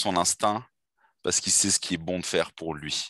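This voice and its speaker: Over a quiet background, a man speaks in a fairly low pitch with a dry, close sound and no echo. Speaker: dating coach. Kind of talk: interview conversation. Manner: enthusiastic.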